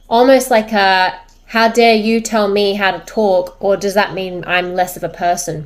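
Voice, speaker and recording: On a very clean recording with a silent background, a woman talks at a medium pitch in an unremarkable speaking voice. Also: fairly even intonation, fairly slow pace. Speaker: social media creator and business owner. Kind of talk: personal vlog monologue.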